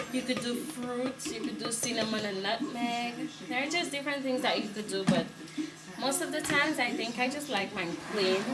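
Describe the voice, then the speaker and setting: Over music in the background and with audible room echo, a woman mumbles at a moderate pace in a high pitch. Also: ordinary pitch variation. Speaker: vlogger. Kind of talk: tutorial. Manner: mumbling.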